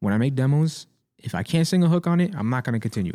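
Recorded very cleanly against a silent background, a man with an American accent speaks in a dark, mellow tone with lively intonation. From US Northeast, Staten Island, New York. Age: 20s. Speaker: rapper and music producer. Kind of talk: casual chat. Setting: studio.

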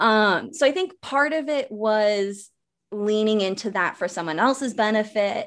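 An ordinary speaking voice moves at a fairly slow pace with lively intonation over a quiet background. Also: woman, fairly high pitch for a woman. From rural Wisconsin. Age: 20s. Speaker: self-love coach. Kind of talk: interview.

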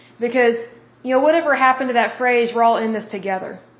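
A woman speaks at a high pitch with fairly even intonation. Audible room echo surrounds her voice. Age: 30s. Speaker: podcast host. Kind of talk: solo commentary monologue.

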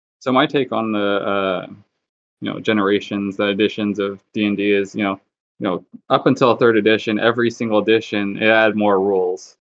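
A man speaks at a fairly quick pace. His pitch is fairly low and his intonation fairly even. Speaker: tabletop player, paladin character. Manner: monotone.

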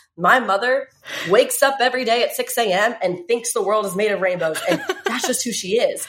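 A woman with an American accent talks at a fairly quick pace in a fairly high pitch, her intonation lively, over noticeable background noise. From US South, Virginia. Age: 20s. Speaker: fitness trainer and swimsuit model. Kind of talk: casual chat.

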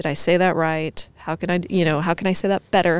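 A woman speaks in a normal speaking voice, fairly low in pitch and at a fairly quick pace. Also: very clean recording, silent background. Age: 30s. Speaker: entrepreneur and fashion designer. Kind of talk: casual chat.

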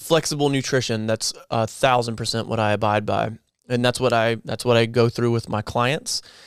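A man with a plain, everyday voice, medium pitch, fairly even intonation, and a moderate pace, on a very clean recording with a silent background. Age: 30s. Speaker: nurse and fitness content creator. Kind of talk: interview.

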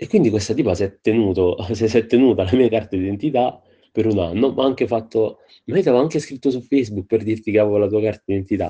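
Here a man has a dark, mellow tone and ordinary pitch variation. He talks at a fairly quick pace against a quiet background. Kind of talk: casual anecdote.

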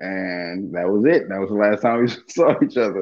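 An unremarkable speaking voice, this man has a fairly low pitch, ordinary pitch variation, a moderate pace and an American accent. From Dallas, Texas. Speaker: stand-up comedian. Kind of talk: casual interview chat.

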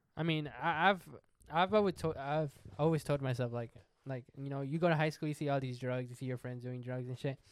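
Fairly quick and fairly high in pitch, a man talks in a plain, everyday voice with ordinary pitch variation. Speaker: podcast co-host. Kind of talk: casual banter.

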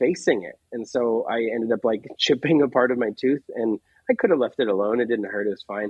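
Speaking at a fairly quick pace, a man with an unremarkable speaking voice uses a medium pitch and ordinary pitch variation. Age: 30s. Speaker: singer-songwriter. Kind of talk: casual interview.

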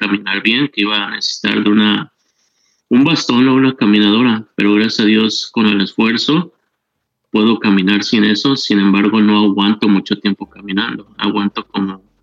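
With an unremarkable speaking voice, a man talks at a moderate pace, his pitch fairly low and his intonation fairly even. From Mexico. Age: 40s. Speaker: kidney patient sharing his story. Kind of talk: testimony.

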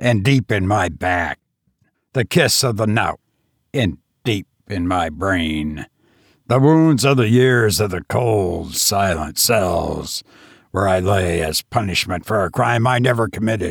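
In a put-on character voice, a man bellows in a booming, fairly low pitch at a fairly slow pace. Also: very clean recording, silent background. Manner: wild, roaring, gloating.

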